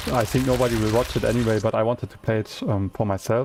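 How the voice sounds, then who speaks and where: Fairly even intonation comes through above noticeable background noise. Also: man. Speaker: gaming streamer. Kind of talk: casual live-stream chat. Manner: hesitant, many fillers and repetitions.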